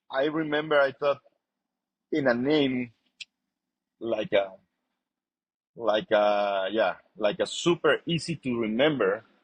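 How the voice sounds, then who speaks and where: The speaker talks at a very slow pace in a Spanish accent, with long, frequent pauses and lively intonation. The sound is dry and close, with no echo. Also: man, medium pitch for a man. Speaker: chef and restaurant owner. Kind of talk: interview. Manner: halting.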